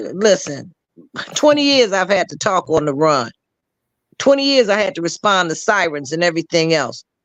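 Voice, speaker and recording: Against a quiet background, the speech moves at a moderate pace broken by long, frequent pauses. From Chicago. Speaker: retired law enforcement officer. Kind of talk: casual chat. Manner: intense.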